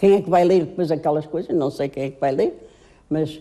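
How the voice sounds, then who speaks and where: The woman's voice carries a dark, mellow tone. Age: 80s+. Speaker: retired teacher. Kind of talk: interview.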